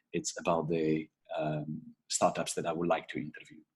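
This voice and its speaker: This is a man speaking with an Italian accent. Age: 40s. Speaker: podcast host and entrepreneur. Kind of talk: casual solo podcast intro. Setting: video call recording. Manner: halting, many fillers. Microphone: laptop mic.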